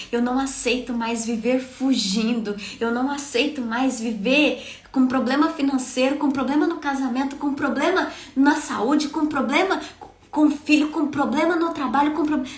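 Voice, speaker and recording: A woman's passionate, high-pitched voice at a moderate pace, with audible room echo and noticeable background noise. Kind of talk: devotional sermon.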